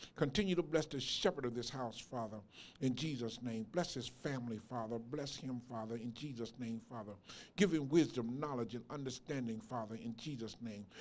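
A man talks fairly quickly, and his pitch varies in an ordinary way. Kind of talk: public prayer. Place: church. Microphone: handheld.

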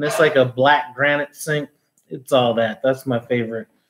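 The speech moves at a moderate pace. Background noise is noticeable throughout. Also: man. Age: 40s. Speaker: cooking YouTuber; cooking channel host. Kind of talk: live stream Q&A. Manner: casual, filler-heavy. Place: home room. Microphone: phone near.

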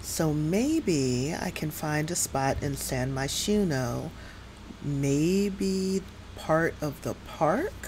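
A woman's very deep, low voice with an American accent, very slow, with ordinary pitch variation and light background noise. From New York City area. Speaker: gaming streamer. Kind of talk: live game stream commentary. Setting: home streaming setup with USB microphone. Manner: casual, chatty with filler words. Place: home room. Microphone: headset.

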